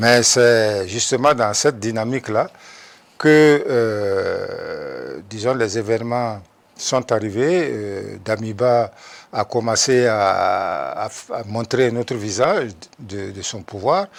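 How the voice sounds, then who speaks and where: This man talks at a very slow pace, his medium pitch showing ordinary pitch variation. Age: 70s. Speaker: media figure and activist. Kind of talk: TV interview. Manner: halting.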